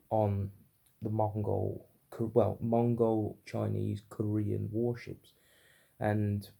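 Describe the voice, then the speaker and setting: A man talks in a British accent. His pace is very slow. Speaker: book reviewer. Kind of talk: unscripted book review. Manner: stuttery, halting; unrehearsed, filler-heavy.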